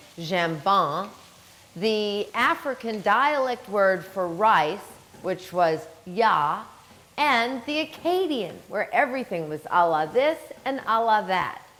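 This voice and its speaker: Speaking very slowly in a New Orleans accent, a woman's medium-pitched voice swings very widely up and down. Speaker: chef, culinary instructor. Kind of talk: cooking demonstration.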